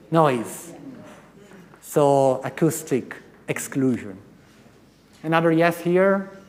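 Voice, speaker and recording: With an American accent, a man speaks very slowly with long, frequent pauses, and audible room echo surrounds him. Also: fairly high pitch for a man, ordinary pitch variation. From Italy. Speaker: professor. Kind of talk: conference talk. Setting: stage with audience. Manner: interactive, engaging with audience.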